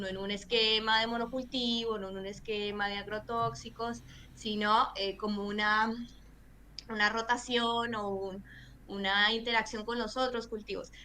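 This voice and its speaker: A woman speaks at a fairly slow pace in a fairly high pitch, her tone bright and sharp, her intonation flat and monotone, with audible room echo. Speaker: environmental lawyer and activist. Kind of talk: interview.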